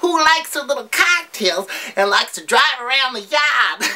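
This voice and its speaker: A woman's put-on character voice, high-pitched with very wide pitch swings, at a moderate pace. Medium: comedy sketch. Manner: giggly, rambling, swears cheerfully.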